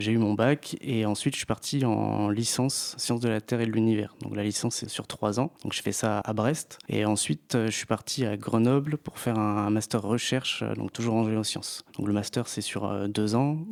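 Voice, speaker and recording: A man with a fairly low pitch talks at a moderate pace with fairly even intonation and hardly any pauses. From Brittany, France (Finistère, Plougastel). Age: 30s. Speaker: geologist, science communicator. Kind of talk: interview. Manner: hesitant, many fillers.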